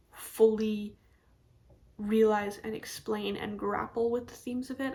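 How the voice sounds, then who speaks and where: Intonation holds fairly even. There is a somewhat breathy quality to the voice. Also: woman. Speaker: book reviewer. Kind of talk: casual chat. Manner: hesitant, with false starts.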